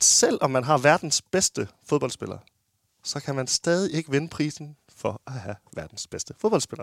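The sound is dry and close with no echo as a man speaks at a fairly slow pace, pitched fairly high, with vocal fry and lively intonation. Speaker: podcast host. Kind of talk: casual chat. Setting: studio.

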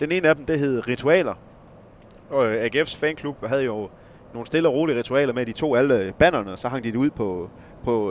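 A man with a West Jutland accent, medium pitch, lively intonation and a moderate pace. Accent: West Jutlandic dialect. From West Jutland, Esbjerg area. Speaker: journalist and football club expert. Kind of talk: casual chat.

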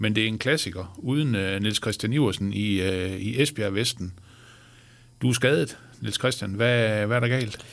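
Speaking at a fairly slow pace, a man has an unremarkable speaking voice. His pitch is fairly low, with ordinary pitch variation. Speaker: sports journalist and podcast host. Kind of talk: interview. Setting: studio.

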